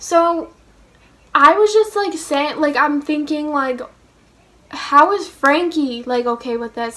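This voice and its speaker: A woman speaks at a fairly slow pace with a high pitch. Her tone is animated. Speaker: vlogger. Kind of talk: casual chat.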